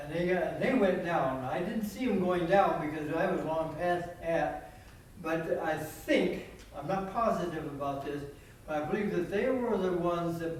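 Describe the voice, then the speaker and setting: Noticeable background noise sits behind a man who speaks at a high pitch with ordinary pitch variation. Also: moderate pace. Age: 80s+. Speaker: war veteran, B-26 tail gunner. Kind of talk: reunion talk, war stories.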